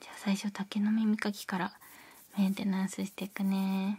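A woman whispers in a soft-spoken, somewhat breathy way. Her pace is moderate. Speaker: ASMR creator. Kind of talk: soft ASMR roleplay talk. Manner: soft ASMR whisper. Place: home room.

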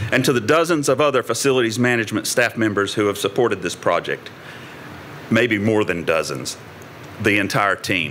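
Noticeable background noise runs under a man speaking at medium pitch and a fairly quick pace. His intonation is lively and his loudness very even. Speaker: university administrator. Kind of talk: ceremonial speech. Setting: podium before live audience.

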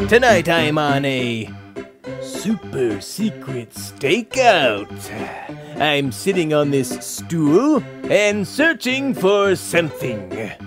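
A cartoonish character voice, low-to-middle in pitch and very slow, over clear background music. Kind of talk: children's educational puppet show. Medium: puppet. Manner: theatrical, exclamatory.

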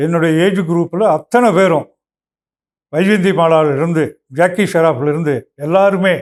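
A man's high-pitched voice, very even in loudness, with ordinary pitch variation. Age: 70s. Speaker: elder community figure. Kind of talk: personal tribute.

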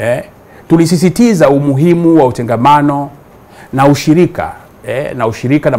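A man speaks at a moderate pace. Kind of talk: press statement. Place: home room. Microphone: lapel.

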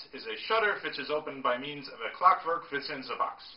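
Room echo is audible on this recording. A man speaks at a fairly quick pace. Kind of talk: storytelling lecture. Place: home room. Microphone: camera far.

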